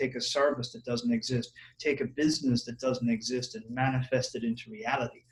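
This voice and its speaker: A man speaks at a medium pitch in a somewhat breathy voice with fairly even intonation. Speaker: copywriter, marketer. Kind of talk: interview answer. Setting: Skype call.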